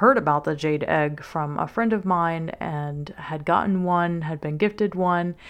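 A woman with an American accent speaks at a very slow pace. Her pitch is fairly low, and the background is quiet. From US South, Louisiana. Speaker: sex coach and podcast host. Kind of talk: solo podcast monologue, personal story. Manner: warm, personable, enthusiastic.

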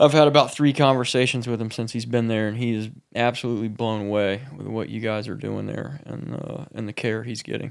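Here a man speaks in an ordinary speaking voice at medium pitch. His pace is moderate, and the recording is very clean with a silent background. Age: 40s. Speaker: podcast co-host, counselor. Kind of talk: casual interview. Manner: casual, swears.

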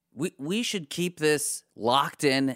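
A man speaks at a fairly slow pace in a very clean recording with a silent background, the sound dry and close with no echo. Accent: American. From US, Pittsburgh. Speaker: panelist. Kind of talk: casual chat.

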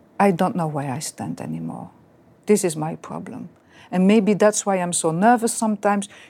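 A woman with a medium pitch and a dark, mellow tone talks at a moderate pace. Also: ordinary pitch variation. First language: French. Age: 60s. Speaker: real estate business owner. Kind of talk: counseling session.

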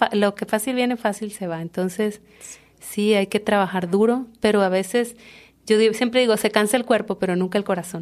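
Using a normal speaking voice, a woman talks at a medium pitch and a moderate pace with ordinary pitch variation. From Mexico, Tabasco (Comalcalco). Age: 30s. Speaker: chef and restaurant owner. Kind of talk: interview conversation.

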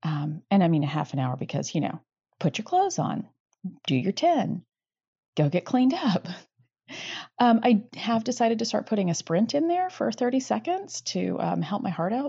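This woman's medium-pitched voice has vocal fry and very wide pitch swings, moving at a moderate pace with long, frequent pauses. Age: 40s. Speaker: listener leaving a voice message. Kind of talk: voicemail.

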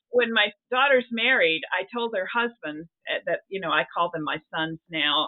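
A woman speaks in a plain, everyday voice with an American accent. Her pace is moderate and her pitch variation ordinary. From US South. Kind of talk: interview. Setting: remote recording.

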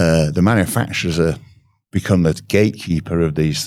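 At a moderate pace and with ordinary pitch variation, a man speaks with a British accent in a very clean recording over a silent background. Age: 60s. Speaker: automotive diagnostics trainer. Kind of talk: interview.

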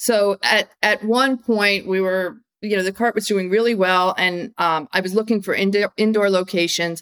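A woman speaks at a moderate pace in an unremarkable speaking voice, with fairly even intonation, very even loudness and hardly any pauses. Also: medium pitch for a woman, dry, close sound with no echo. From US Northeast (upstate New York, Massachusetts). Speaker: food entrepreneur, company founder. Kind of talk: interview.

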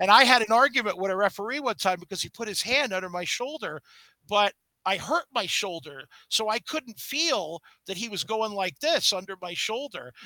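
In a raised, projected voice with a high pitch and a bright, sharp tone, a man speaks at a moderate pace with lively intonation, the sound dry and close with no echo. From Brooklyn, New York. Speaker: comic book artist and former wrestler. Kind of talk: interview. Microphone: feedback from old laptop.

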